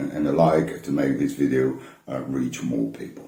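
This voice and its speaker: A man speaks in a dark, mellow tone with vocal fry. The room echo is audible. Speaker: vinyl collector YouTuber. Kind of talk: casual talk to camera from notes. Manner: many hesitations and repeated words; mumbles somewhat.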